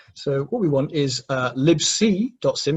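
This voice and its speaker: This man's voice sits at a fairly high pitch. It sounds somewhat breathy. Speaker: security trainer. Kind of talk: technical workshop. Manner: fast.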